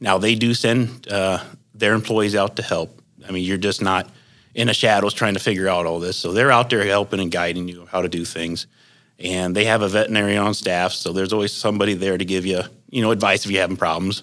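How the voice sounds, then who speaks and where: With a Midwestern US accent, a man talks at a very fast pace, his fairly low pitch held in fairly even intonation. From northwestern Ohio. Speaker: hog farmer. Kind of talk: interview. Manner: halting, many fillers.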